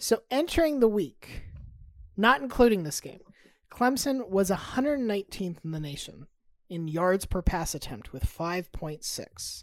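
At a very slow pace, a woman speaks at a medium pitch with very wide pitch swings. Her loudness rises and falls sharply. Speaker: podcast co-host. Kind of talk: casual banter, sports talk.

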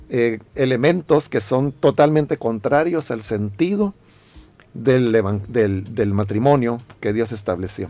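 Very slowly, a man speaks with a dark, mellow tone and lively intonation. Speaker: pastor. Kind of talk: radio interview giving pastoral advice. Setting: radio studio.

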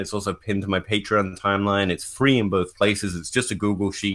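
With an English accent, a man with a fairly low pitch talks at a very fast pace with hardly any pauses, on a very clean recording with a silent background. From England. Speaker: fantasy football analytics writer. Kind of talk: casual podcast discussion of football analytics.

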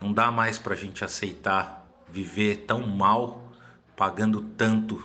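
At a very slow pace, a man speaks in a fairly low pitch with monotone, flat intonation. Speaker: mayoral candidate, physician. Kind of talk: campaign statement.

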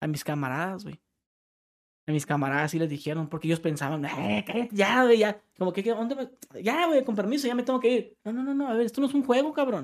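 A man's high-pitched voice with very wide pitch swings at a fairly quick pace. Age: 30s. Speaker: prank YouTuber. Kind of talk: casual chat. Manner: animated.

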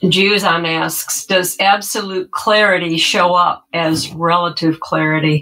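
With hardly any pauses, a woman talks at a fairly slow pace in a fairly low voice with fairly even intonation, a plain, everyday voice. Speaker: moderator reading questions. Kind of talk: reading out audience questions.

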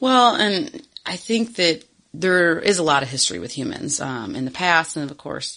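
A woman with a fairly low pitch and a bright, sharp tone talks at a moderate pace, with big swings in loudness and very wide pitch swings. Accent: Michigan. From Michigan. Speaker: podcast co-host, former zoo worker. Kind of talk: casual chat.

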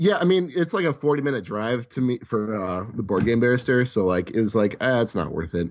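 Over a quiet background, a man with an American accent speaks at a medium pitch and a fairly quick pace, his pitch swinging very widely and hardly any pauses breaking it up. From Wisconsin. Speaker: board game convention staffer. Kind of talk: casual chat.

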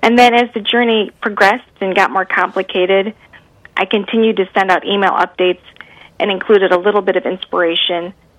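Speaking with an American accent, a woman keeps a fairly quick pace and fairly even intonation. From US Midwest. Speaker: cancer survivor and author. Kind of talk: interview. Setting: radio interview.

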